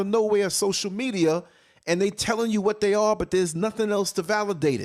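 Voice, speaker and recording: Recorded very cleanly against a silent background, a man with a high pitch speaks at a fairly quick pace. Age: 50s. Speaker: internet radio show host. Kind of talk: casual chat. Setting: home studio. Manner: loud.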